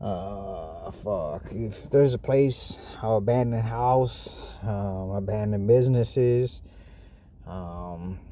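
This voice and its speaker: In an American accent, a man speaks at a very slow pace and a fairly low pitch with ordinary variation, with audible room echo. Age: 40s. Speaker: homeless man telling his story. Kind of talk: casual monologue. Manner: halting, many fillers.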